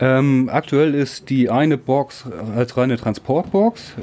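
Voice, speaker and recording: With noticeable noise behind him, a man talks in a mid-range pitch that varies in an ordinary way. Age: 30s. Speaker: volunteer firefighter, group leader. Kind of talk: interview, explaining equipment.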